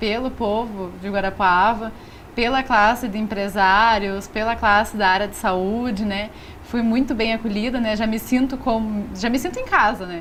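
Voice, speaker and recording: Noticeable background noise and audible room echo fill the recording. A woman talks at a fairly slow pace. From Rio Grande do Sul, southern Brazil. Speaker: magazine publisher. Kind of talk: TV interview.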